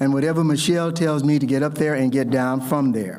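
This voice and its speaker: With an American accent and audible room echo, a man speaks at a fairly quick pace in a fairly high pitch with ordinary pitch variation. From US South. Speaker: ceremony host. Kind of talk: ceremonial speech.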